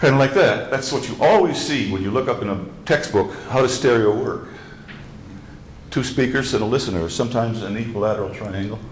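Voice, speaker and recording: A man at medium pitch with ordinary pitch variation, at a fairly quick pace, amid audible room echo and noticeable background noise. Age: 70s. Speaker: speaker designer giving a lecture. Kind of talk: lecture. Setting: club meeting with audience. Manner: halting.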